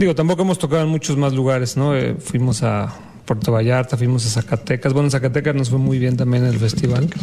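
A man with a Mexico City accent talks at a very fast pace and a very even loudness, his medium pitch moving with ordinary variation. Noticeable background noise runs under the recording. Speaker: jazz bassist. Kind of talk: casual interview.

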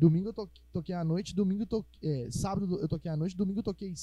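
The tone is dark and mellow. Words come at a very fast pace with ordinary pitch variation. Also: man. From Minas Gerais, Brazil (Ribeirão das Neves). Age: 20s. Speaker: musician and physics teacher. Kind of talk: casual podcast chat.

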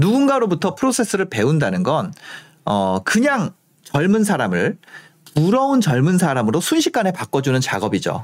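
Moderate speed and very wide swings in pitch, captured on a very clean recording against a silent background. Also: man. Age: 30s. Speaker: finance YouTuber and author. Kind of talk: monologue to camera. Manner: hesitant with frequent fillers.

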